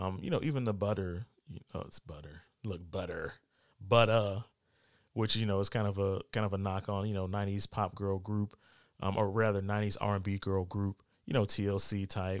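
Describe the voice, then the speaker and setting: On a very clean recording with a silent background, an ordinary speaking voice keeps a moderate pace and fairly even intonation. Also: man, fairly low pitch for a man. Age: 40s. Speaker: podcast host. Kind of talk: casual solo commentary. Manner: casual, many filler words.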